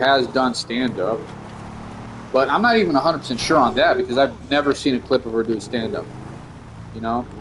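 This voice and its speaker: A man talks at a fairly quick pace with ordinary pitch variation and a medium pitch. Noticeable background noise sits behind him. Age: 30s. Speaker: comedian and gaming streamer. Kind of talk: casual gaming stream chat. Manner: casual, rambling with fillers.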